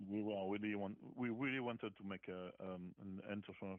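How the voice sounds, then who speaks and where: Speaking at a moderate pace, a man with a fairly low pitch talks in a French accent. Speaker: rock musician. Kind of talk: interview. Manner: halting.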